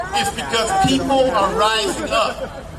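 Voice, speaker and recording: A man uses a raised, projected voice at an extremely high pitch. Audible room echo and noticeable background noise fill the recording. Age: 60s. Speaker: protest speaker, activist organizer. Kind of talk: rally speech. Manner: animated.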